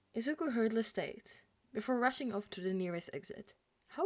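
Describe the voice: Plain reading aloud, nothing more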